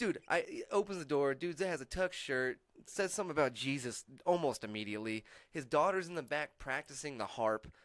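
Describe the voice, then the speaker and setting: Fairly quick, lively intonation from a man with an American accent and a fairly high pitch. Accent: hides a Texan accent, comes out a lot. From Texas (Amarillo). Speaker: stand-up comedian. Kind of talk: casual chat. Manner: animated.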